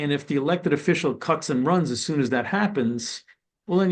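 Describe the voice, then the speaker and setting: At a fairly quick pace, a man with a fairly high pitch uses lively intonation in an unremarkable speaking voice. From New York City (Brooklyn). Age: 60s. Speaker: former corrections and probation official. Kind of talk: webinar panel discussion.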